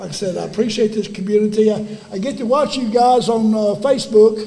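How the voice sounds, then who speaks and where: A man with an East Texas accent speaks at a moderate pace. His pitch is high, and the room echo is audible. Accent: East Texas Southern US. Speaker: former high school football player. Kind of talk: ceremony speech. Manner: halting.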